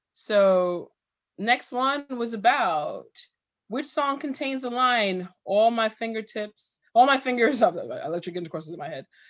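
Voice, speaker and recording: A woman with a normal speaking voice, fairly high in pitch, talks at a moderate pace with lively intonation and big swings in loudness. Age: 40s. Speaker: podcast co-host. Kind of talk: casual chat.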